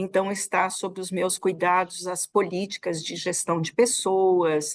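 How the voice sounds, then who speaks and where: At a very slow pace, a woman talks with monotone, flat intonation and big swings in loudness, in a dry, close sound with no echo. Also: medium pitch for a woman. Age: 60s. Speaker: federal labor prosecutor. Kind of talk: interview. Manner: halting, many repetitions.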